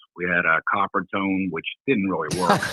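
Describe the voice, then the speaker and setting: A man at a moderate pace, his tone bright and sharp, the sound dry and close with no echo. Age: 60s. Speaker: former lifeguard. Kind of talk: casual chat. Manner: hesitant.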